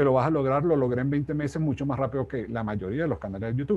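His tone is dark and mellow, and the man sounds somewhat breathy. His intonation is lively. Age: 60s. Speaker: life coach and speaker; life coach, speaker. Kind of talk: interview. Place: home room. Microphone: earbuds.

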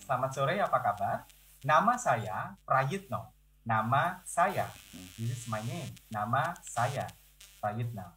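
A man speaks with lively intonation and a bright, sharp tone. His medium-pitched voice carries vocal fry. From Indonesia, East Java. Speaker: university lecturer. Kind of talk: online lecture. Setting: video call.

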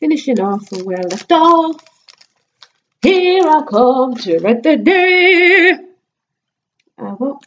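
Speaking at a very slow pace with long, frequent pauses, a woman uses a high pitch that swings very widely. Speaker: beauty vlogger. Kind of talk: makeup tutorial vlog. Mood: casual, a bit distracted. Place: home room. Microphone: webcam.

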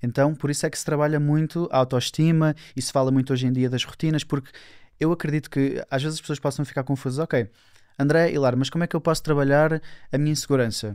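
Against a quiet background, a man talks at a very fast pace. His pitch is fairly high and his intonation fairly even. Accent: European Portuguese. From Portugal. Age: 20s. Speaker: self-development speaker; speaker. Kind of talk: casual interview. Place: studio. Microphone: studio mic.

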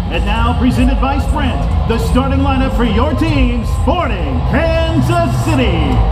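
A man at a fairly slow pace with hardly any pauses, over loud background noise. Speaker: professional PA announcer and radio voiceover artist. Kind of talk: stadium PA announcement, starting lineup read. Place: booth.

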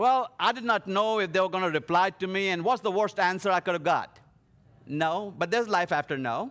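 This man's high voice moves at a fairly quick pace with ordinary pitch variation. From India. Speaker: leadership speaker. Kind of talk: sermon. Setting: live stream to a church audience. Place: studio. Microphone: headset.

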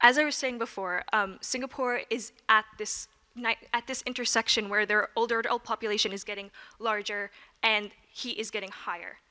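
A fairly high-pitched woman's voice with an American accent, bright and sharp in tone, at a moderate pace with fairly even intonation over a quiet background. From New York City. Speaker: student journalist. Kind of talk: presentation. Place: meeting room. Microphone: handheld.

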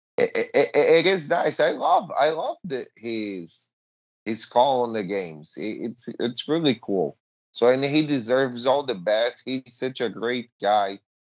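With a Portuguese accent, a man speaks at a fairly slow pace. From Brazil. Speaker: hockey podcast co-host. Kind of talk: casual sports chat.

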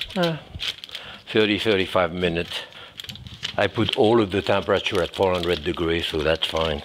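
A man's voice is heard. Behind it sits noticeable background noise. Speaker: chef. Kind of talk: cooking demonstration. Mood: calm, warm, relaxed. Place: kitchen. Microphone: lapel.

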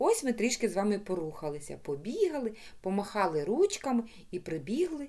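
What you hear is an unforced reading voice.

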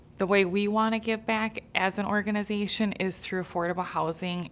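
A woman speaks at a moderate pace in a normal speaking voice, her intonation fairly even. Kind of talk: interview answer. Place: studio.

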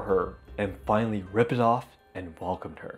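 A man with a Japanese accent at a moderate pace, faint music in the background. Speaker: YouTube host. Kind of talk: storytelling narration to camera. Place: home room. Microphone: lapel.

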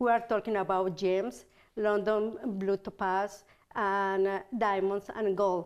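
A woman talks at a very slow pace with monotone, flat intonation. Her loudness stays very even over a quiet background. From Italy. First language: Italian. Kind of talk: product showcase. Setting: TV studio. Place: studio. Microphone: lapel.

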